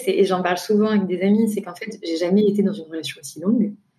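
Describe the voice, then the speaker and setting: A woman talks very fast at a medium pitch with fairly even intonation. Her tone is dark and mellow, and somewhat breathy. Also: hardly any pauses. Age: 20s. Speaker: guest seeking couple advice. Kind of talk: personal testimony. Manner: hesitant with frequent fillers.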